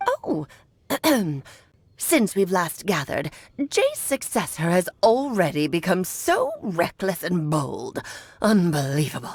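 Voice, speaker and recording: Putting on a character voice, a woman of medium pitch speaks fairly slowly, leaving long, frequent pauses. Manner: scornful.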